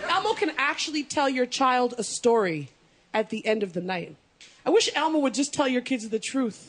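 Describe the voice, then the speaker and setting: A woman's high-pitched, animated voice at a moderate pace with very wide pitch swings, against noticeable background noise. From Canada. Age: 30s. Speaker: comedian. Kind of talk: stand-up. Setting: stage with audience.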